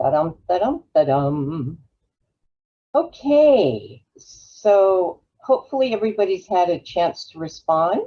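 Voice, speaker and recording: Speaking very slowly with very wide pitch swings, a woman of medium pitch has an American accent. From Los Angeles, California. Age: 70s. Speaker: travel advisor. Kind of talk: webinar presentation.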